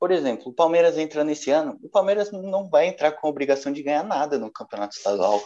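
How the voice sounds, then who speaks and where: Talking at a very fast pace with hardly any pauses, a man uses lively intonation and a dark, mellow tone. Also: fairly high pitch for a man. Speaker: journalism student and football podcast host. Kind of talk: casual football discussion podcast.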